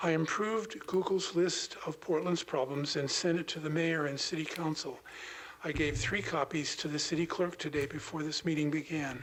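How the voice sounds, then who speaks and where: A man's fairly even intonation and moderate pace come through over noticeable background noise. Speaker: public commenter. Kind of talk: prepared public comment.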